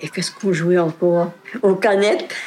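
Medium-pitched female speech at an unhurried-but-not-slow speed over clearly audible background noise. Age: 80s+. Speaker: retired farm worker, nursing home resident. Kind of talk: oral history interview. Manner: halting.

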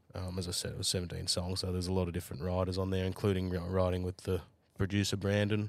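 Words come at a very fast pace in a monotone, flat delivery, captured on a very clean recording with a silent background. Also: man, very deep, low pitch for a man. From Australia, New South Wales. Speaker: country music singer and songwriter. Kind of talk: casual chat.

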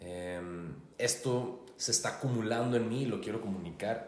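In a northern Mexican accent, a man speaks at a medium pitch. The recording has audible room echo and noticeable background noise. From Hermosillo, Sonora, Mexico. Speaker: life coach. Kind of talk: casual chat.

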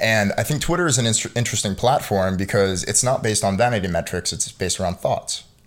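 A man with a Philadelphia accent, fairly low in pitch, very fast, with ordinary pitch variation. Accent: American, Philadelphia. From Philadelphia, US. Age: 20s. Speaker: entrepreneur. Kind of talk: casual chat.

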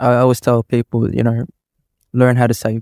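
A man talks with an Australian accent at a medium pitch. The sound is dry and close, with no echo. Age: 30s. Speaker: electrical contractor and property developer. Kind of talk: casual interview. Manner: halting, many fillers.

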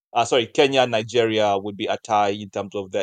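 The sound is dry and close with no echo as a man speaks at a very fast pace. His pitch is fairly low and his intonation fairly even. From Uganda. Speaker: animation studio co-founder. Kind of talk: interview.

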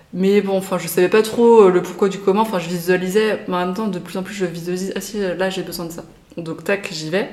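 Noticeable background noise surrounds a woman with a medium pitch who talks at a fairly quick pace in a flat monotone, her loudness swinging a lot. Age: 30s. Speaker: guest sharing personal experience of hypersensitivity. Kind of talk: casual interview.

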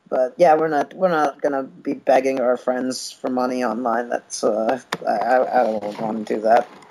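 Over noticeable background noise, a man with an American accent speaks at medium pitch and a moderate pace, his intonation fairly even. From US Midwest, Chicago area. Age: 30s. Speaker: stand-up comedian. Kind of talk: casual interview.

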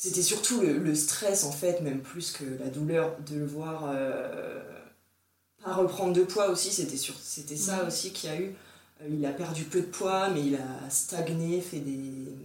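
A woman talks at a very slow pace with fairly low pitch and ordinary pitch variation. Audible room echo surrounds her voice. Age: 30s. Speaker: breastfeeding mother sharing her experience. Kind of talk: casual interview testimony. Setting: recorded at the host's home.

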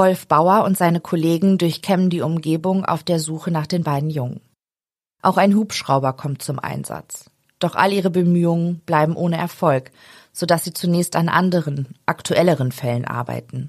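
The voice is a normal speaking voice with ordinary pitch variation. The pace is moderate. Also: woman, fairly low pitch for a woman. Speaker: true crime podcast host. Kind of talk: true-crime narration, read from script. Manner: serious, measured, even storytelling pace.

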